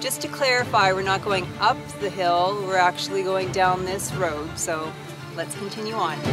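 Over clear background music, a woman talks at a moderate pace with ordinary pitch variation in a dry sound with no echo. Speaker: travel vlogger. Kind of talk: casual vlog chat. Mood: cheerful, upbeat. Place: beach.

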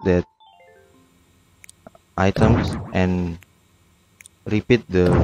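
A man speaks with music in the background. His sound is dry and close, with no echo. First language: non-native English speaker. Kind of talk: video game tutorial narration.

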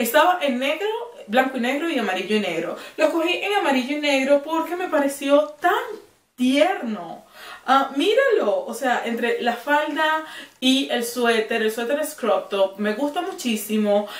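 Her voice is high, and she is a woman whose pitch swings very widely. Audible room echo surrounds it. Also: fairly slow pace. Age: 30s. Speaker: fashion YouTuber. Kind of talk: clothing haul video. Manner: animated. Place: home room. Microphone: camera far.

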